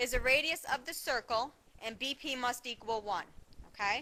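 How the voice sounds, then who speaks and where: In a raised, projected voice with a bright, sharp tone, a woman speaks at a fairly slow pace and a high pitch with ordinary pitch variation. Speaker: math teacher. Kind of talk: lecture.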